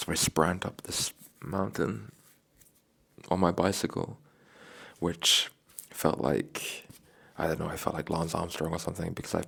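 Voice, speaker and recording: A man talks with a very deep, low pitch and vocal fry at a moderate pace. His pitch varies in an ordinary way, with long, frequent pauses. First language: not English. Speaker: travel vlogger on a bike trip. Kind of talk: casual monologue vlog. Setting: hotel room. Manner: halting, many fillers.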